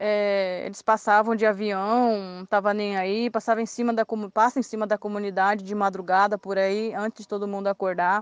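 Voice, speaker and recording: A woman talks in a monotone, flat way with hardly any pauses, in a dry, close sound with no echo. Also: medium pitch for a woman, moderate pace. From Mato Grosso do Sul, Brazil. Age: 20s. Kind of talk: testimony. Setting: WhatsApp voice messages.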